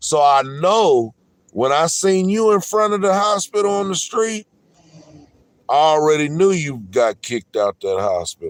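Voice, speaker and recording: Loud and high-pitched, a man speaks at a fairly slow pace with lively intonation. The sound is dry and close with no echo. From San Diego, California. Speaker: livestreamer. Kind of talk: heated argument.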